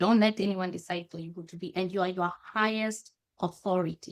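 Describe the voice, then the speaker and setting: With a Kenyan accent, a woman speaks at a moderate pace. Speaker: happiness consultant and coach. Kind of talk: podcast interview. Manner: halting, frequent self-corrections.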